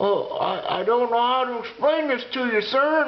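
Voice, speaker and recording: This put-on character voice sits at a fairly high pitch. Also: moderate pace. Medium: solo performance. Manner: formal, says sir.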